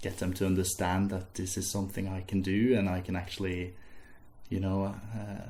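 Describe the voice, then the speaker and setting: With a Norwegian accent, a man speaks in a very deep, low pitch with a dark, mellow tone, somewhat breathy, and audible room echo around him. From Norway. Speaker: music student. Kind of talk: casual interview. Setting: interviewer's house. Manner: slow-paced in English; hesitant, with fillers and repeats.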